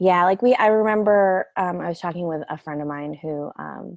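A woman speaks in a plain, everyday voice with ordinary pitch variation over a quiet background. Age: 40s. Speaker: mother sharing birth story. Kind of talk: casual chat.

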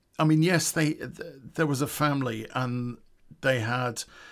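A man with a West Midlands accent, fairly high-pitched for a man, at a fairly slow pace with ordinary pitch variation. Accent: English Midlands (Coventry). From England, Coventry. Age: 50s. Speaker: podcast storyteller. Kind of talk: true crime storytelling.

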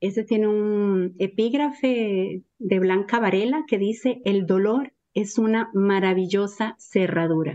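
A woman with a Costa Rican accent, very slow pace and very even loudness. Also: medium pitch for a woman, ordinary pitch variation, hardly any pauses. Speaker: poet and writer. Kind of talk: poet reading. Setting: radio studio interview. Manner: slow, measured, contemplative reading.

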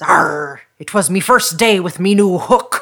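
Someone in a put-on character voice speaks at a middle pitch and a fairly slow pace. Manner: gruff, comic, telling a joke.

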